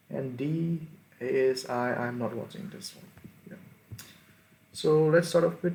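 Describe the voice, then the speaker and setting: A man talks very slowly at a fairly high pitch, somewhat breathy. His pitch swings very widely. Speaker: sports fan commentator. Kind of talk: casual tier list commentary. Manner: halting, many fillers.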